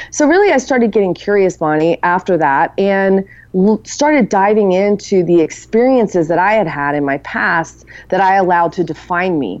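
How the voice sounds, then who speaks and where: A woman at a medium pitch with an ordinary speaking voice, lively intonation, and a moderate pace. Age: 40s, turning 50. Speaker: author and women's community founder. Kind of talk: interview.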